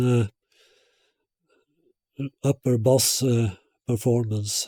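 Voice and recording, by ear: The voice has a dark, mellow tone and fairly even intonation. It moves at a slow pace. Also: man.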